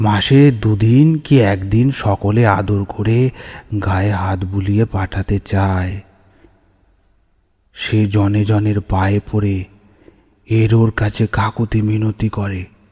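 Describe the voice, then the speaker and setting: A man puts on a character voice, pitched fairly low, and talks at a very slow pace. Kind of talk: horror narration. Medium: read story. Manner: measured, atmospheric.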